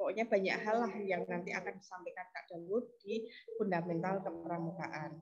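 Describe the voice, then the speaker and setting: A woman speaks at a moderate pace. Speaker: scout trainer. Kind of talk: online training session. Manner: soft-spoken. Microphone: too quiet.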